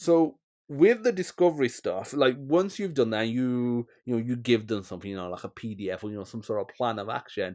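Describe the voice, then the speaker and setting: A plain, everyday voice from a man at medium pitch, fairly quick, with lively intonation, big swings in loudness, and a very clean recording with a silent background. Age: 30s. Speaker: podcast host. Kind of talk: interview.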